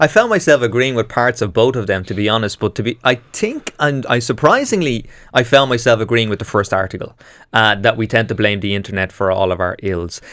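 A plain, everyday voice from a man, medium in pitch, at a fairly quick pace with ordinary pitch variation, on a very clean recording with a silent background. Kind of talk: panel discussion on radio. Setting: studio.

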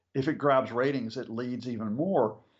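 A man talks at a moderate pace with a normal speaking voice. His pitch is medium with ordinary variation, over a quiet background. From US. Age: 50s. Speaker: professor. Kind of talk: radio interview.

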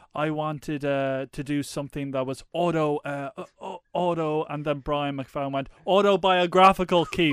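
Recorded very cleanly against a silent background with a dry, close sound and no echo, a man with an unremarkable speaking voice talks at a moderate pace, his fairly high pitch moving in fairly even intonation. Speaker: podcast host. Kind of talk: casual banter podcast.

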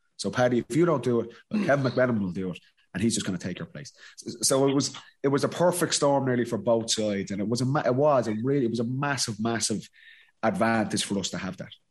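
Here a man speaks in a Dublin accent with lively intonation. His pace is very fast. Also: medium pitch for a man. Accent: Dublin Irish. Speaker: former Gaelic football player, podcast co-host. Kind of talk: casual chat and interview.

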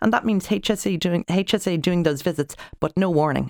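A woman's fairly low-pitched voice with an Irish accent, lively intonation and vocal fry. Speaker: family doctor. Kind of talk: radio panel discussion.

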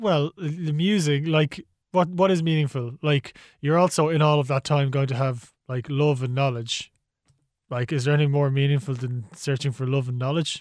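This man has an Irish accent and a fairly high pitch. The recording is very clean, with a silent background. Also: ordinary pitch variation, moderate pace. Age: 30s. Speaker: podcast co-host. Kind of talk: casual chat.

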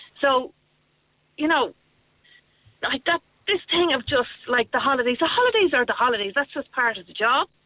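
A woman with a high pitch speaks at a moderate pace, leaving long, frequent pauses. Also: lively intonation. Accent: Irish. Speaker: youth programme teacher. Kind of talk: radio phone-in. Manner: cheerful.

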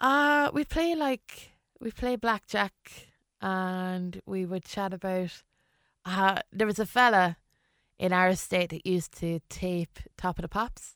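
In an Irish Midlands accent, a woman speaks at a very slow pace and medium pitch with lively intonation, the sound dry and close with no echo on a very clean recording with a silent background. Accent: Irish midlands (Westmeath). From Ireland, County Westmeath (born in London). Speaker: comedian. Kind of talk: casual interview chat.

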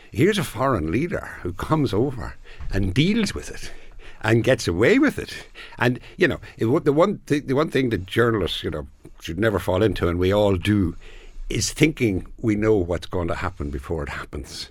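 A man with an Irish accent talks at a moderate pace in a somewhat breathy voice. His medium pitch makes very wide swings over a very clean recording with a silent background. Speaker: business columnist.

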